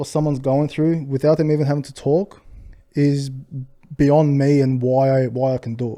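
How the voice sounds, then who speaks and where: A man with an Australian accent mumbles in a dark, mellow tone with monotone, flat intonation. The recording is very clean, with a silent background. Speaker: restaurant owner. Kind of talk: podcast interview. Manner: mumbling.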